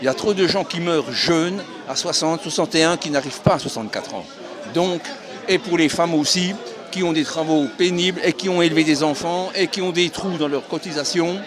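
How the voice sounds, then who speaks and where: A man speaks at a moderate pace in a high voice, with fairly even intonation. Music plays in the background, and the room echo is audible. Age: 70s. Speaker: retiree at a protest. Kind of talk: street interview.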